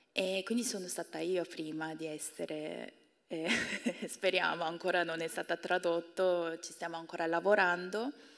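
A woman with a Korean accent, fairly low pitch, fairly even intonation, and a moderate pace, against a quiet background. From South Korea. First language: Korean (speaking Italian). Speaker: university professor and translator; guest. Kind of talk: public talk; interview answer. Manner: halting. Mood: warm, smiling. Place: stage. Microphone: handheld.

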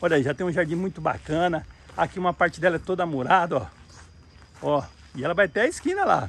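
Delivered at a very fast pace yet broken by long, frequent pauses, the speech has ordinary pitch variation and a dry sound with no echo. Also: man, high pitch for a man. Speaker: real estate agent. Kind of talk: property tour video. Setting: outdoors walking around property. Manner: enthusiastic salesy. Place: open country. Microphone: phone near.

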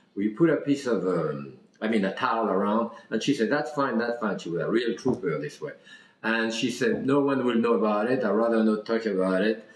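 A man talks at a fairly quick pace. Room echo is audible around him. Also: ordinary pitch variation. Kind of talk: interview answer. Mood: warm, fond storytelling. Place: kitchen. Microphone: camera far.

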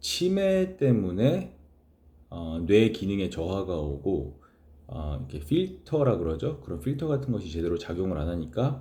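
A man with a very deep, low pitch talks at a fairly slow pace. His voice is somewhat breathy, and his pitch swings very widely. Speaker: chaplain. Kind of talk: casual talk to camera.

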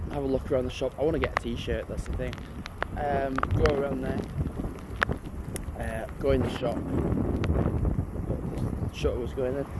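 Against loud background noise, a man talks at a moderate pace. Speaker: vlogger. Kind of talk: casual vlog chat. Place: street. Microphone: phone near.

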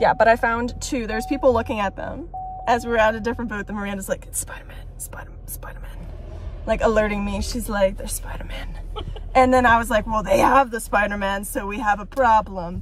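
A woman's very fast speech with big swings in loudness, dry with no echo, over light background noise. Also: ordinary pitch variation. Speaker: vlogger. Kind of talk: casual vlog chat. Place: car. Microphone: phone near.

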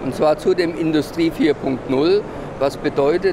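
Noticeable background noise sits under this recording. A man speaks at a very slow pace. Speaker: trade fair exhibitor representative. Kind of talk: interview statement. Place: hall.

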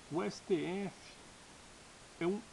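Lively intonation marks this man's speech. Light background noise sits behind him. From Brazil, Minas Gerais. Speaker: political YouTuber. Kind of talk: political commentary monologue. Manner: halting, many fillers. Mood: indignant, critical. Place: home room. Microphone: webcam.

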